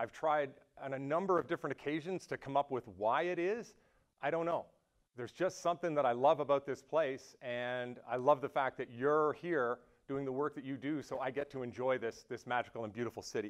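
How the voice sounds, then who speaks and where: Against a quiet background, a man talks at a fairly quick pace with ordinary pitch variation. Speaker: speaker. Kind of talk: public speech. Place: hall.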